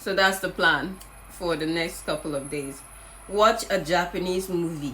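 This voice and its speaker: Her voice sits fairly low for a woman, with ordinary pitch variation. There is audible room echo and noticeable background noise. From Nigeria. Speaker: vlogger, English teacher in Japan. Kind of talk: casual vlog talk.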